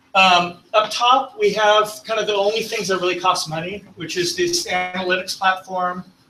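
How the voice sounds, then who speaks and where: A man's high-pitched voice with ordinary pitch variation over noticeable background noise. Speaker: tech presenter. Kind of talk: technical presentation. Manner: fast.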